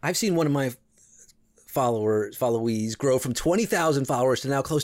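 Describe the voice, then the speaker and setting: With an American accent, a man in an ordinary speaking voice talks at a fairly quick pace with a medium pitch and lively intonation on a very clean recording with a silent background. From New York, Westchester suburbs. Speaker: comedian. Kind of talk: casual chat.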